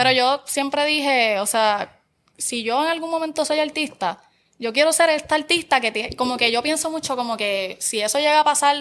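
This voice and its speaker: On a very clean recording with a silent background, a woman with a Puerto Rican accent speaks at a high pitch and moderate pace with ordinary pitch variation. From Puerto Rico, Barranquitas. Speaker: social media content creator. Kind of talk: casual chat.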